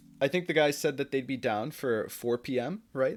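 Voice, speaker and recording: With an American accent, a man with a fairly high pitch and a normal speaking voice talks at a moderate pace with ordinary pitch variation on a very clean recording with a silent background. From United States, Turkish family. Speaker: streamer. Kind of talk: casual chat. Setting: live stream.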